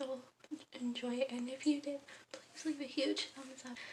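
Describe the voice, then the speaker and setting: Quietly, a woman speaks in a high pitch with fairly even intonation. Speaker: vlogger. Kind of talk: vlog talk to camera; casual chat.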